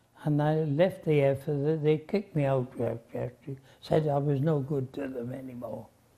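The man's pitch is fairly high, with ordinary pitch variation. His dark, mellow tone is somewhat breathy. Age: 80s+. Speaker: war veteran. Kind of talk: interview answer. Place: garden. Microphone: lapel.

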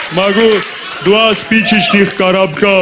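Noticeable background noise runs behind a man's speech. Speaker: comedian in a sketch. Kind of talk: comedy sketch monologue. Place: stage. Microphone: headset.

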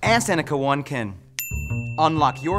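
Clear music plays behind a man talking at a moderate pace. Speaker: actor and comedian. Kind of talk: TV commercial read. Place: studio.

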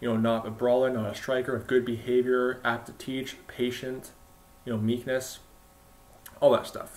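A man speaks at a moderate pace in a flat monotone. He leaves long, frequent pauses. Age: young. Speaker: online Bible preacher. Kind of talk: monologue rebuke video; commentary rebuke monologue. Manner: repetitive, halting with fillers. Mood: critical, rebuking. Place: home room. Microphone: webcam.

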